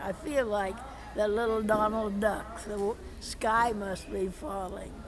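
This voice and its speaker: Over crowd noise in the background, a woman speaks very slowly at a fairly high pitch with fairly even intonation. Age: 80s+. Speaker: political delegate, former teacher. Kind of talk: interview answer.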